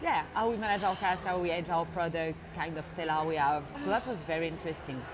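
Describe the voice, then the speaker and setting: A woman talking at a very fast pace with ordinary pitch variation, in audible room echo. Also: fairly low pitch for a woman. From France. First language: French. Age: 30s. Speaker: cognac cellar master. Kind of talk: interview.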